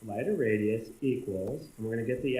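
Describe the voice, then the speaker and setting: A man's somewhat breathy voice. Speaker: coding tutorial instructor. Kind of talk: screencast tutorial narration.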